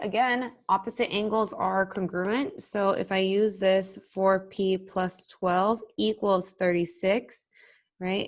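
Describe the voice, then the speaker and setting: A woman talks at a medium pitch with ordinary pitch variation in a normal speaking voice. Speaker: math teacher. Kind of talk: tutorial.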